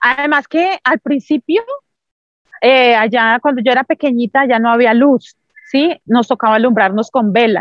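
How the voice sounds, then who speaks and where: Against a quiet background, a woman with a high-pitched voice speaks at a fairly slow pace, with ordinary pitch variation, very even loudness, and a dry sound with no echo. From Colombia, Santander. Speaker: Paralympic athlete; interview guest. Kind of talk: interview testimony. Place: open country. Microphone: video call.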